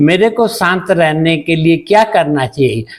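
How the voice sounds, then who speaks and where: A man speaks with lively intonation. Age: 70s. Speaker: doctor. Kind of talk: interview testimony.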